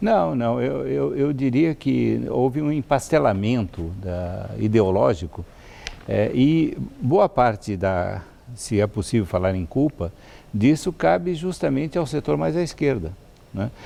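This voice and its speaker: A man speaks at a fairly slow pace with a fairly low pitch. His pitch swings very widely. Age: 70s. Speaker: professor of ethics. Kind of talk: TV interview. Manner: halting, many fillers.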